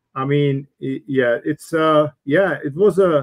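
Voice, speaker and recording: This man has a fairly high pitch and ordinary pitch variation in an ordinary speaking voice. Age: 60s. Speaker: business speaker and coach. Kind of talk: live stream talk. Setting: live stream broadcast.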